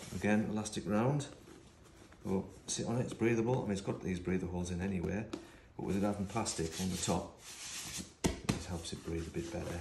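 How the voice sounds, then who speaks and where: A very deep, low-pitched man talking very fast over noticeable background noise. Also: ordinary pitch variation. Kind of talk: tutorial. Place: workshop. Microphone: camera far.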